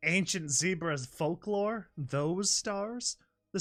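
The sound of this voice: An unforced reading voice plays with a quiet background.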